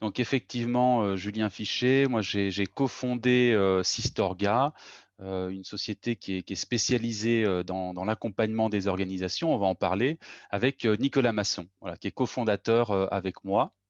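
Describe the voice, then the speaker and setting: Recorded with a dry, close sound, no echo and a quiet background, a man talks at a moderate pace and a fairly low pitch with ordinary pitch variation. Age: 40s. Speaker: organizational consultant, company co-founder. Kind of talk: interview. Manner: hesitant, many fillers and repetitions.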